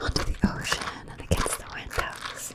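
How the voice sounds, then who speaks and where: A calm whisper moves at a very slow pace over noticeable background noise. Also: woman. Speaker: ASMR content creator. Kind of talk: guided visualization. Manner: slow, calm.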